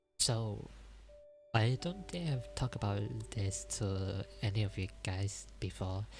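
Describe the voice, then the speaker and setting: Over music in the background, a soft-spoken man whispers at a fairly slow pace. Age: 20s. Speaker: livestreamer. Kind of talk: ASMR storytelling livestream. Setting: livestream at home. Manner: soft whispering; halting, self-correcting.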